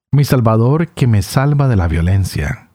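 At a very slow pace, a man speaks in a somewhat breathy, fairly low voice with a dark, mellow tone and very wide pitch swings. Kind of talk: scripture reading aloud; reflection and commentary.

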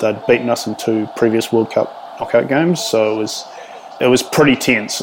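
Over noticeable background noise, a man speaks with a New Zealand accent. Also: moderate pace. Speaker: rugby writer. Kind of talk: storytelling interview. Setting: remote call.

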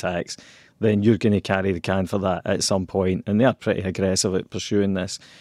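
In a Scottish accent, a man speaks in a dark, mellow tone at a fairly low pitch, his intonation monotone and flat, and the sound is dry and close with no echo.

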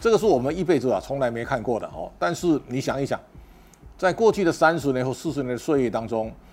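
A man talks at a very fast pace with very wide pitch swings, music playing in the background. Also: fairly high pitch for a man. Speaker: political and economic commentator. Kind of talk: solo commentary monologue. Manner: halting, with repeated words and fillers.

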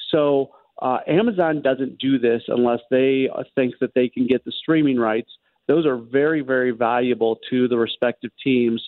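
The speaker has an ordinary speaking voice with fairly even intonation. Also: man, medium pitch for a man, moderate pace. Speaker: sports radio host. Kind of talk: casual chat. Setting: phone call.

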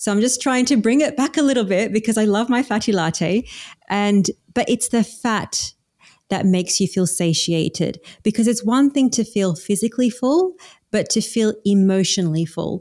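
With an Australian accent, a woman speaks at a moderate pace in a fairly high, dark and mellow voice with lively intonation. Her loudness stays very even, and the recording is very clean over a silent background. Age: 40s. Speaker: carnivore diet coach. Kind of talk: casual interview.

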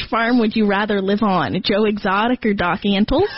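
The voice belongs to a woman with a fairly high pitch. Noticeable background noise runs underneath. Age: 20s. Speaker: college student, host's daughter. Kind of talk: casual chat.

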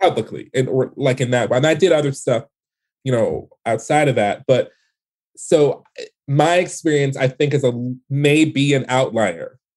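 A man with an American accent talks at a moderate pace, his pitch fairly high. His pitch varies in an ordinary way, and he leaves long, frequent pauses. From Detroit, US Midwest. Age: 40s. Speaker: playwright. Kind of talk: interview. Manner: casual, many fillers.

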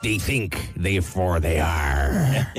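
Using a put-on character voice, a man growls raspy lines at a very deep, low pitch. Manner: playful, gruff.

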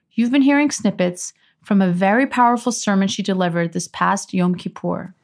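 At medium pitch and a moderate pace, a woman talks in an unremarkable speaking voice with ordinary pitch variation, in a very clean recording with a silent background. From Iran, raised in US. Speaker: podcast host and prosecutor. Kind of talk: casual chat; scripted narration.

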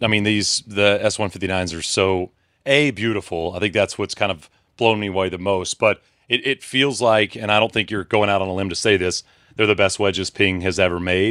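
A man's fairly low-pitched voice, an ordinary speaking voice, at a fairly quick pace with fairly even intonation, dry and close with no echo, against a quiet background. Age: 30s. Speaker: podcast host. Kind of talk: casual chat.

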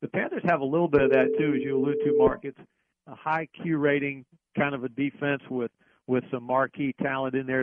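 Speaking at a moderate pace, the man uses an unremarkable speaking voice set at a medium pitch. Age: 60s. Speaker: NFL radio play-by-play announcer. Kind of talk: casual interview.

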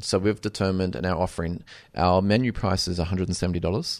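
A man with an Australian accent speaks at a very fast pace. His pitch is very deep and low, and the background is quiet. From Queensland, Australia. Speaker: chef and restaurant owner. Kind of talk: interview. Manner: halting with frequent repetitions.

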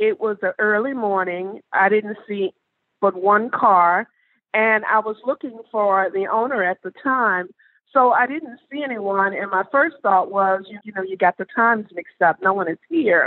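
A woman speaks at a fairly slow pace with a Southern US accent. Her pitch varies in an ordinary way. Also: medium pitch for a woman. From US South, Mississippi. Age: 60s. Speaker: haunted property ambassador. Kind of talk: interview storytelling.

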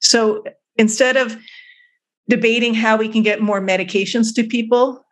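A woman with an American accent uses a normal speaking voice at medium pitch, keeping a fairly even intonation and a moderate pace. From US West Coast, Oakland and Berkeley, California. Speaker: psychiatrist and anthropology professor. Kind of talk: interview.

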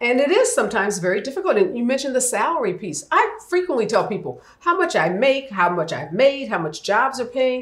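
A woman with an American accent talks at a fairly quick pace and high pitch, with very wide pitch swings and hardly any pauses. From US Midwest, St. Louis north side. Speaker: attorney and advocate. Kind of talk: interview conversation.

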